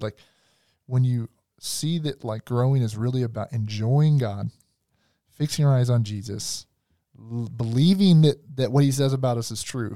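Recorded very cleanly against a silent background, a man with an American accent speaks in a medium pitch with a dark, mellow tone and ordinary pitch variation, in a dry, close sound with no echo. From US South. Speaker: pastor. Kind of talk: casual chat.

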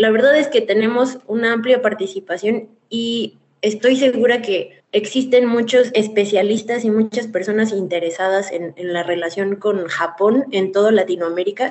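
A woman's fairly high voice with a Mexican accent, at a moderate pace with hardly any pauses and ordinary pitch variation. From Mexico. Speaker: former scholarship holder, association member. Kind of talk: radio interview. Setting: remote connection.

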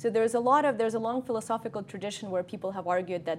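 A woman's voice with a Russian accent and ordinary pitch variation. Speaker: cognitive scientist. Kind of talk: lecture. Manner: halting.

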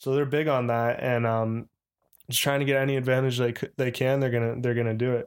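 Delivered at a fairly quick pace with an American accent, the speech has a monotone, flat intonation and very even loudness. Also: man, medium pitch for a man. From Chicago. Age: 20s. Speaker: professional baseball player. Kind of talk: casual chat.

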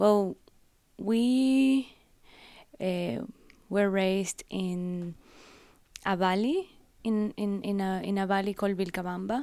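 On a very clean recording with a silent background, a woman of medium pitch speaks at a very slow pace, with ordinary pitch variation, a dark, mellow tone and long, frequent pauses. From Ecuador (Guayaquil). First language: Spanish. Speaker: art curator. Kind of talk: interview on stage. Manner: halting.

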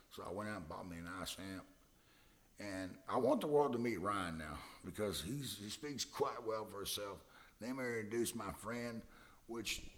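In a Texan accent, a man speaks at a fairly low pitch with lively intonation. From Texas, Hillsboro. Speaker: musician. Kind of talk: casual interview. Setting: studio.

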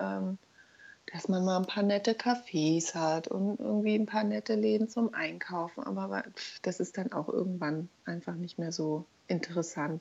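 A woman talks at a moderate speed, the background quiet. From Berlin. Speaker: mother of two, friend of host. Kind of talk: casual interview chat.

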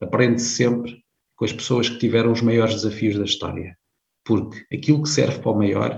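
Vocal fry runs through this fairly quick delivery with ordinary pitch variation. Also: man. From Portugal, Viseu district (Beira Alta). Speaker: career management consultant, company founder. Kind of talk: interview.

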